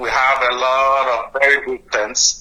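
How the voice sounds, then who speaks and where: With a Nigerian accent and a fairly high pitch, a man speaks over noticeable background noise. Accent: Nigerian, kept. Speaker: doctor, guest sponsor. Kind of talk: interview. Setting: studio.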